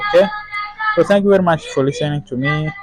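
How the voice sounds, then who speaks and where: There is noticeable noise in the background. Over it, a man talks. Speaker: software developer demonstrating app. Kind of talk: tutorial. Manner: halting.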